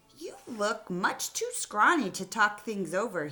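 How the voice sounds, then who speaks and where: A put-on character voice, fairly high in pitch, raised and projected, at a fairly slow pace. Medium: read story. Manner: eager.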